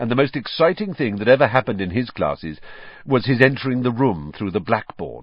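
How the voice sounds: The voice heard is a natural reading voice. Nothing else is noted about it.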